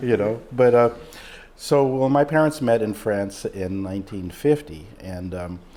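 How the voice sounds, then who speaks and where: A man at a medium pitch, fairly slow in pace with lively intonation, against noticeable background noise. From Mexico. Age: 60s. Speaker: emergency room doctor. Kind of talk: interview. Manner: halting, many fillers.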